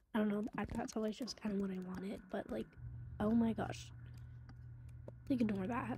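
A woman speaks quietly and somewhat breathily in a dark, mellow tone. Her pitch sits in the medium range, with ordinary variation. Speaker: gaming vlogger. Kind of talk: casual chat.

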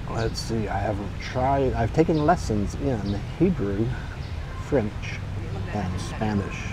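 Against noticeable background noise in a dry sound with no echo, a man with a fairly low pitch speaks very slowly, with very wide pitch swings and long, frequent pauses. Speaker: expat vlogger. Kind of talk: casual talk to camera. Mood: amused, storytelling. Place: street. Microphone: phone near.

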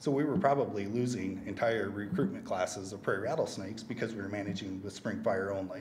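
There is light background noise behind a man with an American accent. He speaks at a fairly quick pace with fairly even intonation. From US Midwest. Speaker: conservation land manager. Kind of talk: conference presentation. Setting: stage with audience, microphone. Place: hall. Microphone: podium.

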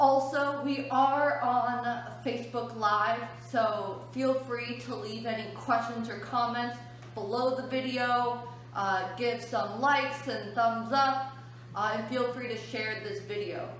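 Over light background noise and audible room echo, a woman speaks very slowly with high pitch and ordinary pitch variation. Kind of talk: educational talk to children. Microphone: phone near.

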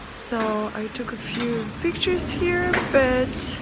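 A woman speaks over loud background noise. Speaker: travel vlogger. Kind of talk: casual vlog chat. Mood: awed, enthusiastic. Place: tunnel cave. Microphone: phone near.

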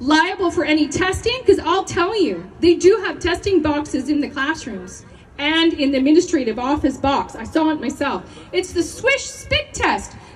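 A woman's extremely high pitch, passionate tone and lively intonation at a moderate pace, with light background noise. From Canada. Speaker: teacher and protest speaker. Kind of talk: protest speech to a rally crowd. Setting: outdoor rally with crowd. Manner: passionate, forceful, rallying and confrontational; call-and-response, asks the crowd questions. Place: open country.

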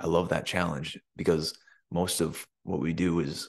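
A man with an American accent speaks in a very deep, low voice. The background is quiet. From US Midwest, small-town Michigan. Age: 20s. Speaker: vlogger. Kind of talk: casual vlog monologue. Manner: filler-heavy, hesitant. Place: home room. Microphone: studio mic.

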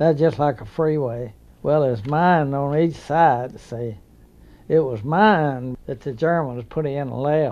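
A man with a Southern US accent speaks at a very slow pace with ordinary pitch variation. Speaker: war veteran. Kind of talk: interview answer.

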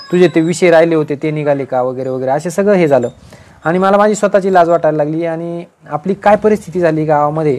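Here is an unremarkable speaking voice. The man uses ordinary pitch variation. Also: fairly high pitch for a man. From rural Maharashtra, Nashik district (Sinnar); Maharashtra. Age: 40s. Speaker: senior income tax officer giving career guidance. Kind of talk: motivational talk to exam aspirants. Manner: informal, conversational. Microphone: earbuds.

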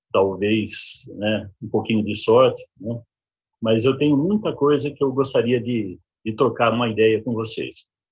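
A somewhat breathy male voice with ordinary pitch variation against a quiet background. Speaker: professional council representative. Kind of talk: webinar talk. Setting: video call. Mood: friendly, self-deprecating humor. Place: home room. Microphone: video call.

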